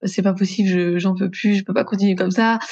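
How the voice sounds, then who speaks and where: Here a woman is talking. Her voice is somewhat breathy. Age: 30s. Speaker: entrepreneur, customer care manager. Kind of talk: casual interview chat.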